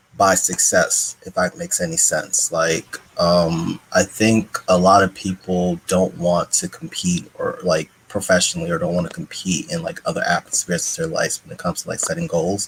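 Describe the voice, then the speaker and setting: A man speaks at a moderate pace with hardly any pauses, his dry, close sound carrying no echo despite noticeable background noise. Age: young. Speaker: doctor. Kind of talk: online panel discussion. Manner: halting.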